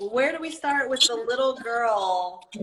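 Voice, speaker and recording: With an American accent, a woman speaks in a high pitch that swings very widely. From New Jersey. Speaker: podcast host, tattoo artist. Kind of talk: interview.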